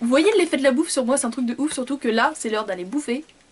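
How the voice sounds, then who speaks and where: Over noticeable background noise, a woman speaks at high pitch with ordinary pitch variation. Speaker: beauty vlogger. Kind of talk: casual product review vlog. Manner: fast.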